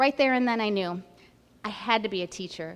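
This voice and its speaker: The voice belongs to a woman with fairly high pitch. Her pitch varies in an ordinary way. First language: Spanish. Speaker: school principal candidate. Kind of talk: candidate presentation. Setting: school event with in-person audience and livestream.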